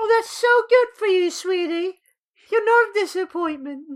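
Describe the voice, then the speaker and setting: The put-on character voice sits at an extremely high pitch. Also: moderate pace. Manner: sweet, doting.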